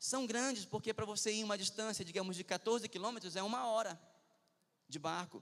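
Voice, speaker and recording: With a Pará accent, a man talks at a high pitch with ordinary pitch variation. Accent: Pará accent from Santarém. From Brazil, Pará (Santarém). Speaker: pastor. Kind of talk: sermon.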